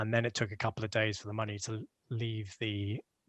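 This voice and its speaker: Against a quiet background, a man with a British accent talks fairly quickly in a fairly low, monotone voice, the sound dry and close with no echo. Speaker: crypto project contributor. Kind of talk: podcast interview. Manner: hesitant, many fillers.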